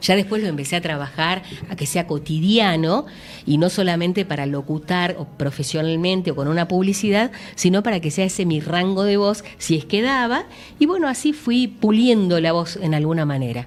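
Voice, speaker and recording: A woman's fairly low voice with lively intonation at a moderate pace. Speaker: radio announcer. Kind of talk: interview answer.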